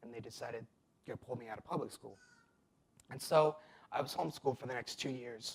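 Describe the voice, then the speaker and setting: Somewhat breathy and with an American accent, a man talks at a fairly quick pace with ordinary pitch variation. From Nevada, US (adopted from abroad). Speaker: testimony speaker. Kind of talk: testimony.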